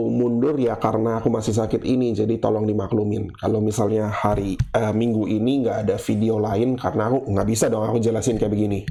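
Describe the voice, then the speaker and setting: Against noticeable background noise, a man with a medium pitch speaks at a fairly quick pace with fairly even intonation. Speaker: gaming YouTuber. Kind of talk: casual monologue. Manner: casual, unscripted single take.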